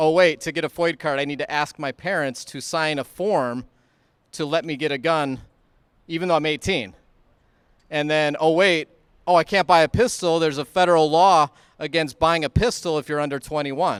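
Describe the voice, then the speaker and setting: A man with a fairly high pitch speaks at a moderate pace, dry and close with no echo, in a very clean recording with a silent background. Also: ordinary pitch variation. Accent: Midwestern American. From US Midwest (Illinois). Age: 30s. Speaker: gun rights activist. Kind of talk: rally speech. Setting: stage at outdoor rally. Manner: conversational, with frequent fillers.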